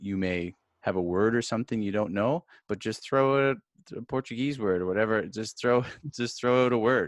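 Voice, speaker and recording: An unremarkable speaking voice at a moderate pace with ordinary pitch variation, recorded dry and close with no echo against a quiet background. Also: man. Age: 40s. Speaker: podcast host. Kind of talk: interview.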